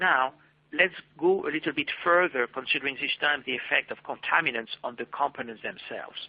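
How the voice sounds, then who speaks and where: A man with a French accent and a fairly high pitch talks at a fairly quick pace with ordinary pitch variation. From France. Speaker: marketing manager presenting a webinar. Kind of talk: webinar presentation. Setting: online webinar. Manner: formal.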